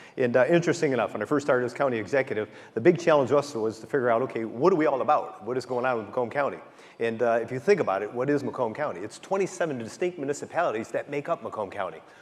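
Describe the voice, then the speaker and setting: With an American accent, a man talks at a very fast pace, his medium pitch carried by lively intonation. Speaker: county executive. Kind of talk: keynote speech. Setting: stage with audience.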